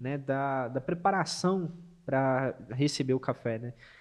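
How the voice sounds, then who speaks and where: At a fairly slow pace and with lively intonation, a normal speaking voice comes through against a quiet background. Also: man. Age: 20s. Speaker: barista and café manager. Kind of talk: casual chat with brewing demonstration. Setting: studio.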